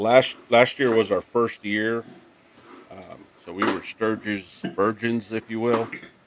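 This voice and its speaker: The voice moves at a very slow pace, monotone and flat, with big swings in loudness. Noticeable background noise is present. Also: man, medium pitch for a man. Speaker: motovlogger. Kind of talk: casual chat. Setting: video call.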